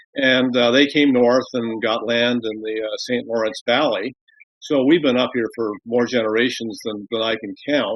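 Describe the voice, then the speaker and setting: This man has an ordinary speaking voice with a medium pitch. He talks at a moderate pace, and his intonation stays fairly even. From Ontario, Canada (Brockville). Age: 60s. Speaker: retired broadcast executive. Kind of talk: casual interview. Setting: remote call.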